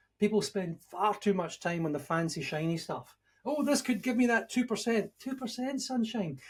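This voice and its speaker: The speaker has a Scottish accent and lively intonation. The pace is moderate. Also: man, high pitch for a man. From Scotland. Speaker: leadership and management expert, author. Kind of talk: podcast interview.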